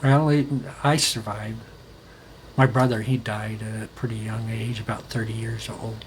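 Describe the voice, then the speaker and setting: A somewhat breathy man at a moderate pace, with fairly even intonation. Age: 60s. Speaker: solo video blogger on current events. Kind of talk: casual monologue. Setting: recording alone. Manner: halting, many fillers and restarts.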